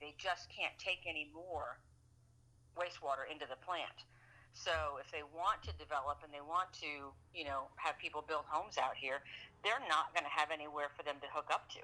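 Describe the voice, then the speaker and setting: A woman with an American accent speaks at a very deep, low pitch and a moderate pace, her intonation fairly even. Her tone is bright and sharp, with big swings in loudness. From Boston. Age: 50s. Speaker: local political candidate. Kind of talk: interview. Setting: podcast.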